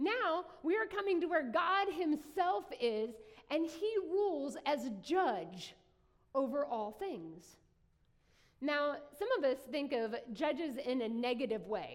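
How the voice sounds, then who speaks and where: Someone speaks very slowly with an Appalachian accent, the pitch swinging very widely. Room echo is audible. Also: woman, high pitch for a woman. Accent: Appalachian US Southern. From southern West Virginia. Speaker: pastor. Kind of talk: sermon. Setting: church.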